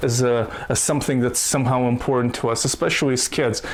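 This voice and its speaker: An animated voice in a Russian accent over noticeable background noise. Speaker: YouTube commentator. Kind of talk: casual commentary rant.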